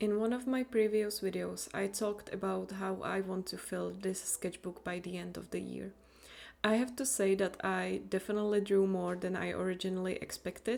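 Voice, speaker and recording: Moderate-paced speech from a woman with a non-native accent. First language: not English. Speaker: YouTuber, hobby artist. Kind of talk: casual voiceover narration.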